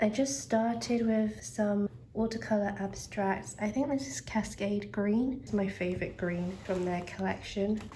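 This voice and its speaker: A woman talks at a fairly slow pace in a medium pitch, with lively intonation and hardly any pauses. Background noise is noticeable. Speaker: artist. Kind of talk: casual chatty sketchbook tour.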